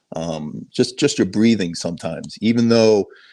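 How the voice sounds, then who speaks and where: A man with a slight Boston accent in a very clean recording with a silent background. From Boston suburbs, Massachusetts. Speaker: sheriff helicopter pilot. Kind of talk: casual interview.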